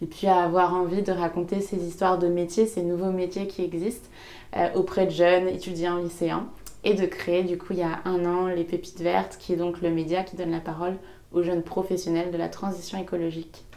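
A woman's fairly low voice, dark and mellow in tone, with monotone, flat intonation. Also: moderate pace. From western France, Maine-et-Loire near Angers. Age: 20s. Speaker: entrepreneur, podcast creator. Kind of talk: interview conversation. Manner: hesitant with fillers.

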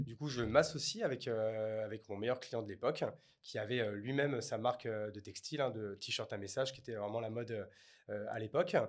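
A man with an ordinary speaking voice talks at a medium pitch and a moderate pace. His intonation is fairly even, with big swings in loudness. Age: 30s. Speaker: entrepreneur. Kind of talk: interview.

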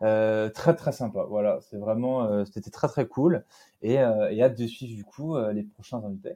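Against a quiet background, a man with a dark, mellow tone and medium pitch speaks very slowly. His loudness swings widely, while his pitch varies in an ordinary way. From southern France (Nîmes). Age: 20s. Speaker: entrepreneur, agency founder. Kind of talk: casual interview chat.

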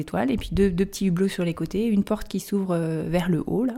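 A woman speaks at a moderate pace and medium pitch in a dark, mellow tone. Her pitch varies in an ordinary way. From Brittany, Erquy area (Côtes-d'Armor). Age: 30s. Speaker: treehouse rental owner. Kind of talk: interview.

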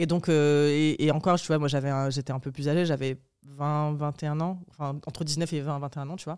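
Captured on a very clean recording with a silent background, a woman speaks at a moderate pace in a very deep, low pitch. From southern France, rural. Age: 20s. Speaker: journalist and writer. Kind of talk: casual chat.

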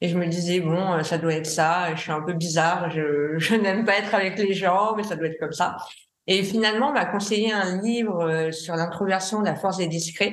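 With audible room echo, a woman speaks at a moderate pace in a fairly low voice with fairly even intonation. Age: 30s. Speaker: graphic designer and art director. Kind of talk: testimony. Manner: halting.

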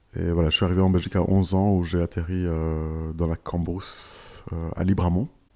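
On a very clean recording with a silent background, a man speaks at a moderate pace in a dark, mellow tone, with very deep, low pitch and fairly even intonation. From East Africa (Rwanda, Kenya), Belgium from age 11. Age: 30s. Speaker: childcare worker. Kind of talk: interview testimony. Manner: hesitant, many fillers.

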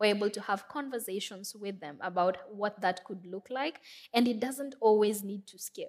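A woman with a Kenyan accent speaks with ordinary pitch variation and big swings in loudness on a very clean recording with a silent background. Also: medium pitch for a woman, moderate pace. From Kenya, Nairobi. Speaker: social entrepreneur, founder of a clean stove company. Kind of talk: fireside chat on stage. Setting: stage with audience.

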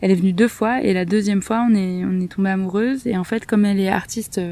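A woman at medium pitch with a dark, mellow tone, fairly even intonation and a fairly quick pace. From southern France, Marseille. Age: 30s. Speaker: sheep farm association member. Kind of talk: interview. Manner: hesitant.

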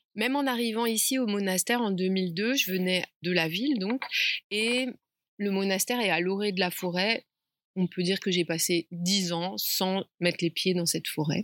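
A woman talks at a moderate pace in a medium pitch with ordinary pitch variation. The sound is dry and close, with no echo. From Paris suburbs, France. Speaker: Buddhist nun and retreat founder. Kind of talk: interview. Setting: outdoors.

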